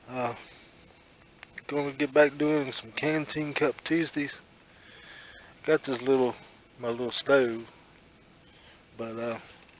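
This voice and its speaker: Noticeable background noise sits behind a man speaking at medium pitch with fairly even intonation. He talks at a very slow pace, with long, frequent pauses. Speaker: outdoor cooking vlogger. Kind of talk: casual tutorial. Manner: halting, many fillers.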